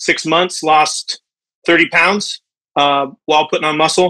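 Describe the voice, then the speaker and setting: Against a quiet background, a man with an American accent speaks at a fairly slow pace, his tone bright and sharp and his intonation fairly even. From US West. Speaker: caller, restaurant owner. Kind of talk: casual chat. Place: home room. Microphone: video call.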